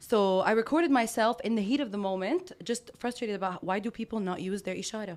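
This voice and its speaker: In a very clean recording with a silent background, a woman with a Lebanese accent talks at a very fast pace with ordinary pitch variation. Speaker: life coach and women empowerment speaker. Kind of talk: casual interview. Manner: loud; animated.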